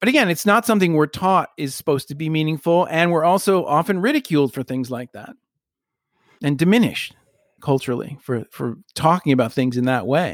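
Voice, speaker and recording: Lively intonation carries the fairly quick delivery, recorded with a dry, close sound and no echo. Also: man, fairly high pitch for a man. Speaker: podcast host. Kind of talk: casual chat. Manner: playful, glib tone.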